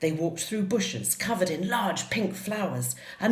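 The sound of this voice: The reading voice is unforced, and its pitch shifts in an ordinary way.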